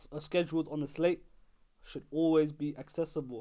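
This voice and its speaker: Recorded very cleanly against a silent background, a man speaks with a London accent at a fairly quick pace. His fairly high voice carries an animated tone. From London, England. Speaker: basketball podcast host. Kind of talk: solo podcast commentary. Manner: animated, repetitive; halting, many restarts and fillers.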